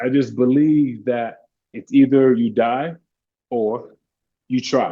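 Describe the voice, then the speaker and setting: A man speaks at a medium pitch. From Nigeria. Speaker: mindset coach and fitness trainer. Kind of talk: podcast interview answer. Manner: calm, kind.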